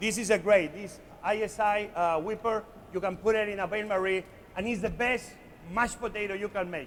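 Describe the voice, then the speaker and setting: This man speaks with a Spanish accent at a high pitch. His pace is moderate and his pitch variation ordinary. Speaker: chef. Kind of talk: live cooking demonstration to an audience. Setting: conference stage. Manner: lively, playful.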